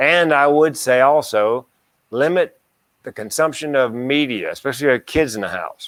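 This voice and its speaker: A man with an ordinary speaking voice talks at a moderate pace and a fairly high pitch, the sound dry and close with no echo on a very clean recording with a silent background. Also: ordinary pitch variation. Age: 60s. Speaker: comedian and mental health speaker. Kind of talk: casual chat.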